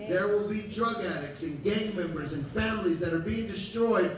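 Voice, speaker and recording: A man speaks at a high pitch with ordinary pitch variation. The room has audible echo and light background noise. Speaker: pastor. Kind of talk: sermon. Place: church.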